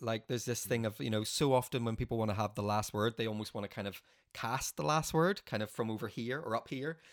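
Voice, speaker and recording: The background is silent and the recording very clean. A man talks at a very fast pace. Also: medium pitch for a man, ordinary pitch variation. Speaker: podcast host. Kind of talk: casual interview chat.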